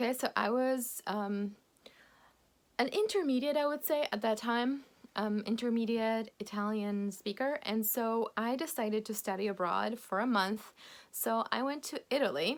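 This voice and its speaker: A woman with a Polish accent and a fairly high pitch. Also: ordinary pitch variation, fairly slow pace. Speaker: English teacher. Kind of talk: video lesson. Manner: animated.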